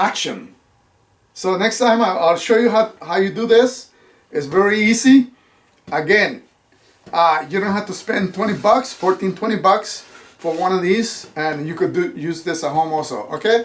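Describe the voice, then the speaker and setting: With a slight non-native accent, a man speaks at a high pitch with ordinary pitch variation. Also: moderate pace. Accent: slight foreign. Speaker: YouTuber and actor. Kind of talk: DIY tutorial. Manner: halting, many fillers.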